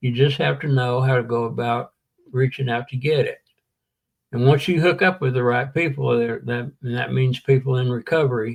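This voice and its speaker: A somewhat breathy male voice at a medium pitch, with fairly even intonation and a Southern US accent. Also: moderate pace. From US South, Tennessee (Chattanooga). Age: 70s. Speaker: war veteran in recovery. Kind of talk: interview testimony.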